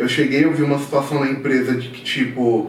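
Noticeable background noise sits alongside audible room echo in this clip. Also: man. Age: 30s. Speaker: market data analyst. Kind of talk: casual chat.

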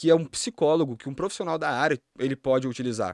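The man's fairly quick delivery has a dry, close sound with no echo. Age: 20s. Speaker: magician and hypnotist. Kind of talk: casual chat.

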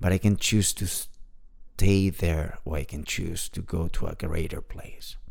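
A man with a very deep, low pitch talks at a fairly slow pace. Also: fairly even intonation. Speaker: podcast host. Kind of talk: personal monologue. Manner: soft-spoken.

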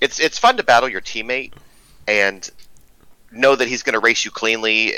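Bright and sharp in tone, a man talks at a fairly quick pace with medium pitch and fairly even intonation. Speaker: sim racing driver. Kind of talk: casual chat. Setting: video call. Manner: candid, outspoken.

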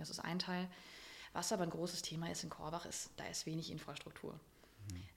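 Using vocal fry, a woman talks at a fairly quick pace with a fairly low pitch. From Germany, northern Hesse. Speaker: business owner and coach. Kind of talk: interview. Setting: recorded in a restaurant.

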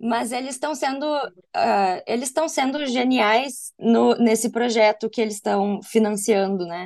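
A woman with an unremarkable speaking voice, fairly high in pitch, talks at a fairly slow pace with hardly any pauses and ordinary pitch variation. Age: 30s. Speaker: advertising professional and film buff. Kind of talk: casual chat.

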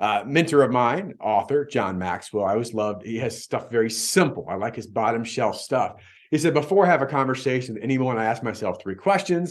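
With an energetic tone and lively intonation, a man at medium pitch talks at a fairly quick pace with hardly any pauses. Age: 40s. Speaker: podcast host, insurance agency coach. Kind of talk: motivational business podcast monologue.

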